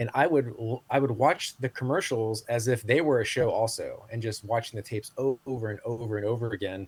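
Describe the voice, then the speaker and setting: Somewhat breathy, a man of medium pitch speaks with ordinary pitch variation. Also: fairly quick pace. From Southeast Asia. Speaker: marketing executive and Web3 consultant. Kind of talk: interview. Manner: fast.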